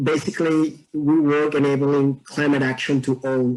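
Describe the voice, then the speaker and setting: A man with a Mexican accent, fairly high in pitch, with monotone, flat intonation at a moderate pace. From Mexico. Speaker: environmentalist and dancer. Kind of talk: casual interview chat.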